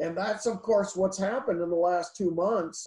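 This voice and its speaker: A man's high-pitched voice with a dark, mellow tone and fairly even intonation. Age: 60s. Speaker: economist. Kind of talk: interview. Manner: halting.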